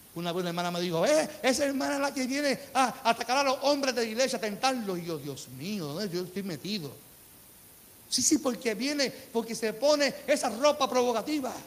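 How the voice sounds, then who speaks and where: A man with an extremely high pitch, an animated, warm tone and lively intonation, at a moderate pace. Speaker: pastor. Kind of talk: sermon preached live to a church congregation, rhetorical questions and calls for amen. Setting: church. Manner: animated, fervent preacher, repeats phrases for emphasis, colloquial and warm.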